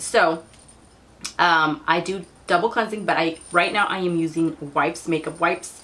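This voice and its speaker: A woman's fairly low voice at a moderate pace, fairly even in intonation, with noticeable background noise. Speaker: beauty vlogger. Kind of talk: product review vlog.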